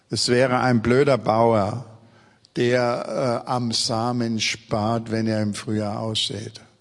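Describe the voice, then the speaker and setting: A man's very slow, monotone voice with flat intonation and audible room echo. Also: medium pitch for a man. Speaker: pastor. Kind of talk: sermon.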